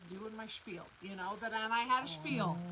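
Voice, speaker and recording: Her pitch sits at a medium level, and the woman speaks at a fairly quick pace. Audible room echo is present. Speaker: quilt shop co-host. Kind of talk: casual chat. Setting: livestream. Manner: fast.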